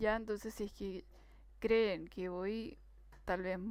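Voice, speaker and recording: Her pace is fairly slow, with ordinary pitch variation. The woman's voice sits at a medium pitch. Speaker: tutor. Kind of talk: tutorial. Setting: live stream.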